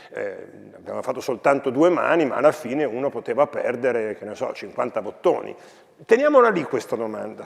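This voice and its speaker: Loudness rises and falls sharply as this man talks fairly quickly. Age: 60s. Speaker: philosophy professor and school educator. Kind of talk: talk to students.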